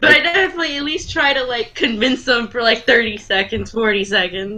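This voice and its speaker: The speech moves at a fairly quick pace with lively intonation, over noticeable background noise. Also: woman, fairly high pitch for a woman. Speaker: card game player. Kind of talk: casual chat.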